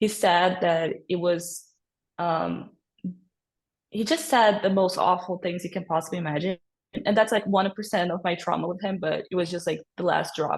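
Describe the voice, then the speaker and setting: Somewhat breathy and medium in pitch, a woman talks at a moderate pace with fairly even intonation. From Brazil. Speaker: podcast guest, former au pair. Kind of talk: personal testimony in casual interview.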